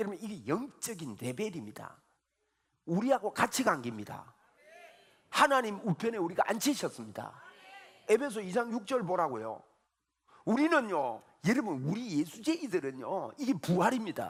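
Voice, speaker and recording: There are long, frequent pauses as a man speaks at a moderate pace. His high voice moves through very wide pitch swings. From Gyeongsang region, South Korea. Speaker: pastor. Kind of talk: sermon. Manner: animated.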